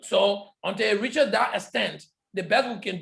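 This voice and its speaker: Loud and high-pitched, a man talks at a moderate pace with ordinary pitch variation. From Liberia. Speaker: public health lecturer. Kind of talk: lecture Q&A.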